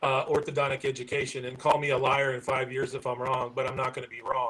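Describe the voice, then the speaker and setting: A man at a very fast pace in monotone, flat intonation, over noticeable background noise. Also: medium pitch for a man. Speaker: professional society board leader and conference speaker. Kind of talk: live-stream interview.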